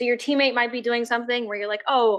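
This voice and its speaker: A woman speaks with a high pitch. Her tone is bright and sharp. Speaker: sports health educator. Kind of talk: educational talk. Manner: loud.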